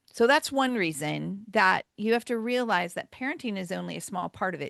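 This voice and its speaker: A woman speaks in a plain, everyday voice at a medium pitch. Her pace is moderate. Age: 60s. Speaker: marriage author and speaker. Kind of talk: podcast interview.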